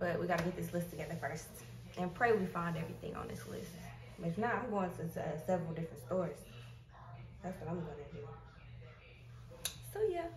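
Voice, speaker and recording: Over noticeable background noise, a woman speaks at a very fast pace. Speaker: family vlogger. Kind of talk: casual vlog chat. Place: home room.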